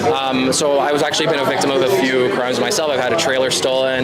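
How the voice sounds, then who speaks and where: With audible room echo and noticeable background noise, a man at a medium pitch talks at a fairly quick pace. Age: 20s. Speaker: small business owner, rally attendee. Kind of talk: street interview.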